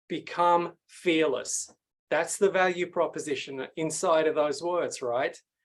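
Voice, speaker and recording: A man with an Australian accent speaks at a fairly slow pace in a high voice with fairly even intonation. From Sydney, Australia. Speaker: pitch coach and speaker. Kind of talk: masterclass presentation.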